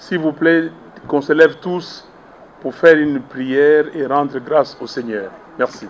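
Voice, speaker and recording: Over noticeable background noise, a man with a fairly high pitch and ordinary pitch variation speaks at a fairly slow pace with long, frequent pauses. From DR Congo, Kinshasa. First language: Lingala (speaking French). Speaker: opposition politician. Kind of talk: press conference.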